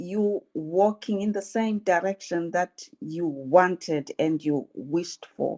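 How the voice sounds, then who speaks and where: This woman talks at a very slow pace with ordinary pitch variation. Her pitch sits in the medium range. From South Africa. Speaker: webinar participant. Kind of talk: casual chat.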